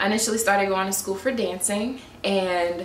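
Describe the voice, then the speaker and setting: Audible room echo and light background noise surround a woman who speaks at a moderate pace with an American accent. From St. Louis, Missouri, US. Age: 20s. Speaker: YouTuber. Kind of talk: vlog monologue to camera. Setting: home recording, standing up. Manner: animated. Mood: relaxed, friendly. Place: home room. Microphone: phone near.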